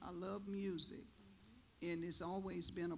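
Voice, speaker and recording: A woman's fairly low voice at a fairly slow pace, fairly even in intonation, with audible room echo. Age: 70s. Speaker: elder panelist, caregiver. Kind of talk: panel discussion. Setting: church stage.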